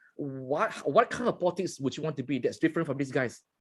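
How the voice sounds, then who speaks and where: At a very fast pace, a man with a Malaysian accent speaks in a fairly high pitch. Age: 60s. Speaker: journalist and interview host. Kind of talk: interview.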